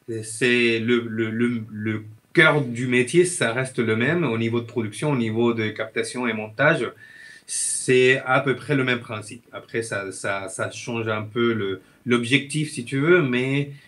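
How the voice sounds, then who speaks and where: A man with a medium-pitched voice talks at a very slow pace over noticeable background noise. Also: ordinary pitch variation. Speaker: filmmaker and video editor. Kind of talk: casual interview chat. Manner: halting, many hesitations.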